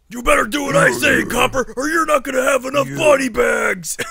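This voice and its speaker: A man shouts at a fairly quick pace in a cartoonish character voice. His pitch is extremely high. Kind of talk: cartoony, exaggerated. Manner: menacing, tough-guy.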